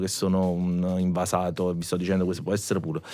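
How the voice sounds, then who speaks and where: The man's pitch is very deep and low. He speaks at a very fast pace. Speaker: musician. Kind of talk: podcast conversation.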